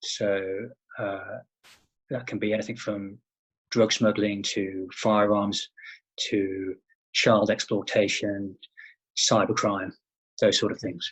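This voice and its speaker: Slowly and with long, frequent pauses, a man speaks in a British accent at a fairly low pitch and in a monotone, flat intonation. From England. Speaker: private investigator, former law enforcement officer. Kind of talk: interview. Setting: remote interview from home.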